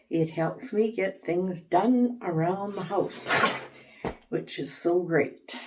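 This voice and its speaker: The speech moves at a very slow pace with ordinary pitch variation. Noticeable background noise is present. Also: woman, fairly low pitch for a woman. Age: 70s. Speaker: homemaking vlogger. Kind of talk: casual vlog narration. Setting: at home.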